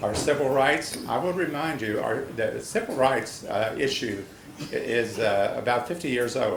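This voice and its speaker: At a moderate pace, a man speaks amid audible room echo and noticeable background noise. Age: 70s. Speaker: public commenter at city meeting. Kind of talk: public comment speech. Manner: halting.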